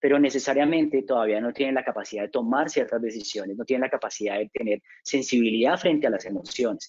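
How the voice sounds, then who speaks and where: Very fast speech comes from a man with a fairly high pitch. His intonation is lively. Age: 40s. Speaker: business consultant. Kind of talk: lecture. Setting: webinar. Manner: halting.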